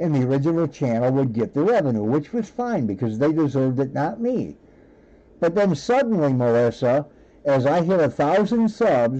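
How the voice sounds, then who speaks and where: Keeping his loudness very even, a man with a fairly high pitch speaks at a moderate pace while his pitch swings very widely. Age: 60s. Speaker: live streamer. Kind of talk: live stream chat with viewers. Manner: halting.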